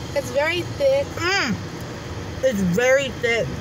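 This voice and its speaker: Very slow speech sounds dry with no echo, over noticeable background noise. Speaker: vlogger. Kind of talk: casual vlog chat, food tasting. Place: car. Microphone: phone near.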